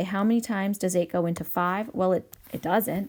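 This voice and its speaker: A woman's dark, mellow voice at medium pitch, with fairly even intonation and a fairly quick pace, in a very clean recording with a silent background. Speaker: math teacher. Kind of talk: tutorial. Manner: frequent filler ums.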